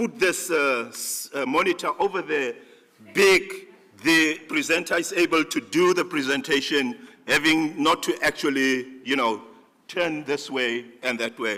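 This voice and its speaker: A man speaks loudly at a fairly slow pace, his bright, sharp tone carried by lively intonation. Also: fairly high pitch for a man. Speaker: conference organizer giving closing remarks. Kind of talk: closing remarks at a conference. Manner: halting, many fillers and restarts.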